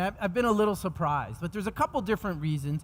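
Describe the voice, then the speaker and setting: A man speaks with a New York accent at a high pitch. His intonation is lively. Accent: New York American. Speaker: technology executive speaking at a conference. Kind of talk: conference keynote presentation. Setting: stage with audience. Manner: fast.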